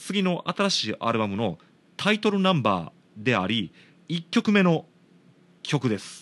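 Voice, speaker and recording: Against a quiet background, a man speaks at a fairly slow pace with long, frequent pauses. His voice sits at a fairly high pitch and moves in very wide pitch swings. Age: 30s. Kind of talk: casual solo talk.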